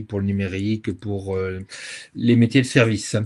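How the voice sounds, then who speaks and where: Against a quiet background, a man talks in a dark, mellow tone with fairly even intonation. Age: 60s. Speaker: sustainability consultant, firm founder. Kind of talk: webinar interview. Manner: hesitant, many fillers.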